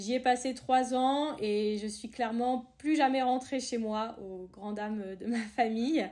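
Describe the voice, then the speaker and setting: Speaking very slowly with hardly any pauses, a woman with a high pitch and a dark, mellow tone keeps her intonation fairly even while her loudness swings widely. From France, Tours (Loire valley). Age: 20s. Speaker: ski resort worker and outdoor sports enthusiast. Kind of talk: podcast interview. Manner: hesitant, many fillers.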